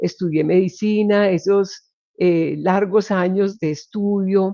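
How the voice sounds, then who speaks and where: A dark, mellow tone, very slow pace and flat, monotone intonation. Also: woman, medium pitch for a woman. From Colombia, Medellín area. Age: 60s. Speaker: occupational health physician. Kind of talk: interview conversation.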